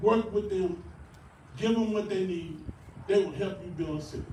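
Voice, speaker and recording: A man talks at a very fast pace in a high pitch. Noticeable background noise and audible room echo come through. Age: 60s. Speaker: mayoral candidate. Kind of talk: campaign speech. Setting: rally with audience. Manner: animated.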